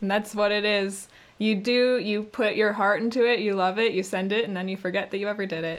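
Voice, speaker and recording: A woman speaks with a Canadian accent at a fairly quick pace. Her intonation is monotone and flat. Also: medium pitch for a woman. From Canada. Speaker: voice actress. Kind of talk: casual interview chat. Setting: video call.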